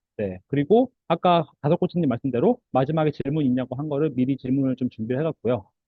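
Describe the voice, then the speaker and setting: A very fast pace with hardly any pauses and ordinary pitch variation. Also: man, fairly high pitch for a man. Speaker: career coach panelist. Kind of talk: webinar panel talk.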